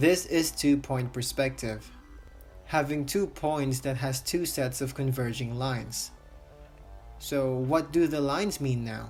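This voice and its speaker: With a non-native accent, the speaker talks at a fairly slow pace while music plays in the background. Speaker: art tutorial maker. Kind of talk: tutorial narration. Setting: low-quality home microphone.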